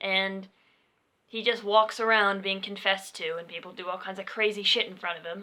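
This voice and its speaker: Mumbling in a monotone, flat intonation, a woman with a medium pitch and a bright, sharp tone swings widely in loudness. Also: fairly quick pace. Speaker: podcast co-host. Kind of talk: casual chat. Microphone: poorly placed mic, quiet.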